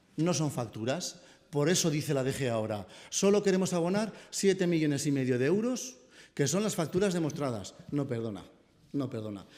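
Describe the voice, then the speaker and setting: In a room with audible echo, a man speaks with a fairly high pitch and a dark, mellow tone. His pitch swings very widely. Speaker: city councillor. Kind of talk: press conference. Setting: press conference. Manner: fast.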